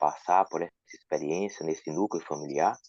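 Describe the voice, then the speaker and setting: Using a northeastern Brazilian accent, a man speaks at a moderate pace with fairly even intonation. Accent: northeastern Brazilian (Ceará). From Ceará, northeast Brazil. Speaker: audience participant. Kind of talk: asking a question.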